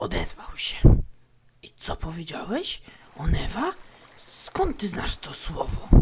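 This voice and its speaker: Whispering in a put-on character voice, the speaker moves at a fairly slow pace with long, frequent pauses. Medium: machinima. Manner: intense, dramatic.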